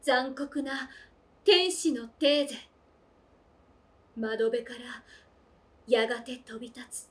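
This is a woman speaking. Her voice is high-pitched. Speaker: voice actor. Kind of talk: poetry reading. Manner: slow. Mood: earnest, slightly playful. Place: home room.

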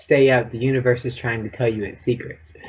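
A man speaks at a medium pitch. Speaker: podcast co-host. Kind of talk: interview.

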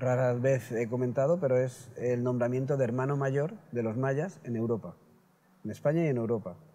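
A man talks at a moderate pace with a medium pitch and ordinary pitch variation. Light background noise can be heard. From Spain, Elche (Valencia region). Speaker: shaman and healer. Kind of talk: interview. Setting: at his home. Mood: calm, earnest. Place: garden.

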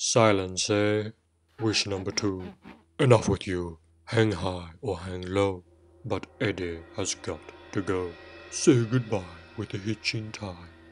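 Using a put-on character voice, a man talks at a fairly slow pace and fairly low pitch, leaving long, frequent pauses. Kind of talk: comic overacting. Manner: sing-song rhyming, pompous decrees.

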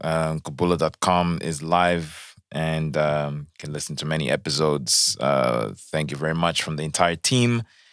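A man speaks in a very deep, low pitch at a fairly slow pace, with ordinary pitch variation. The sound is dry with no echo, over a quiet background. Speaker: podcast host. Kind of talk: casual chat. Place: studio. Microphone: studio mic.

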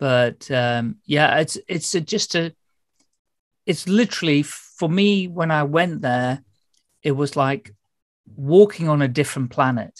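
Speaking with a British accent at a fairly slow pace, this voice leaves long, frequent pauses. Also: quiet background. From UK. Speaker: podcast host. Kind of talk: casual interview. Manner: chatty, rambling. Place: home room.

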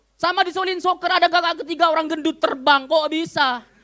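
This man's raised, projected voice sits extremely high in pitch, moving at a fairly quick pace with an animated tone. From Madura, Indonesia. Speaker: stand-up comedian. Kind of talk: stand-up comedy. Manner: animated, punchy delivery with crowd-baiting pauses; switches into fast mock-Arabic gibberish. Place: cafe. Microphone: handheld.

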